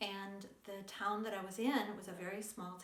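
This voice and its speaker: Speaking at a fairly slow pace, a woman uses a medium pitch and monotone, flat intonation amid audible room echo and noticeable background noise. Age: 60s. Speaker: yoga and lifestyle vlogger. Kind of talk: casual chat. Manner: conversational with hesitations.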